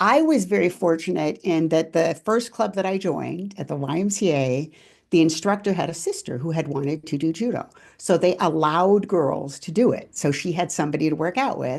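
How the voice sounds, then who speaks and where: This woman has a plain, everyday voice, pitched fairly low for a woman, with ordinary pitch variation. She speaks at a fairly quick pace over a quiet background. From California. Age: 60s. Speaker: former judo world champion. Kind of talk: interview.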